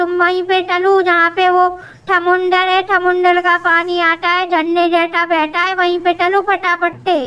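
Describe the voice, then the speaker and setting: A put-on character voice at an extremely high pitch talks at a moderate pace in a flat monotone over light background noise. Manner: chatty, innocent.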